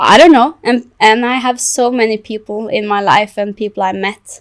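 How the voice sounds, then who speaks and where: Using ordinary pitch variation, a woman with a Norwegian accent talks at a fairly high pitch. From Norway. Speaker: content creator and illustrator. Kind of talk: podcast interview. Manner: halting.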